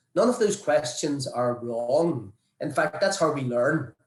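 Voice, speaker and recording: A somewhat breathy man's voice with an Irish accent, fairly high in pitch, at a fairly slow pace. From Ireland. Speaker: vaccine researcher. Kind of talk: panel presentation.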